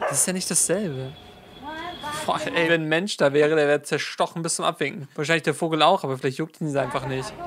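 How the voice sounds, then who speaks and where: A man speaking very fast with ordinary pitch variation, amid noticeable background noise. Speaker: streamer. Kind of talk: casual reaction commentary. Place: home room.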